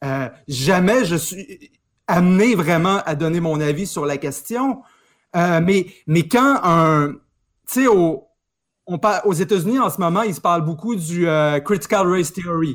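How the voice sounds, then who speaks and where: A man talks at a fairly slow pace in a high pitch with ordinary pitch variation. The recording is very clean, with a silent background. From Quebec, Saguenay. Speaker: historian. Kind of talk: casual chat.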